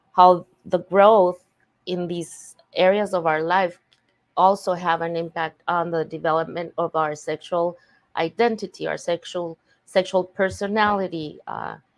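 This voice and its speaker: A woman with a non-native accent and fairly low pitch speaks at a fairly slow pace with fairly even intonation. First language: Spanish. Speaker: faith-based recovery coach. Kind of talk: podcast interview. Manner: halting.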